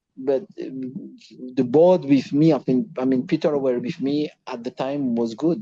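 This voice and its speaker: In a French accent, a man speaks at a fairly high pitch with a dark, mellow tone against a quiet background. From Reunion Island. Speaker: former footballer. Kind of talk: interview. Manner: halting.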